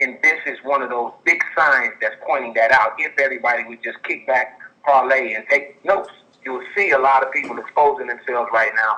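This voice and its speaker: A man goes at a fairly quick pace while noticeable background noise carries on. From Chicago. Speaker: caller. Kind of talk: call-in testimony. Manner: fast.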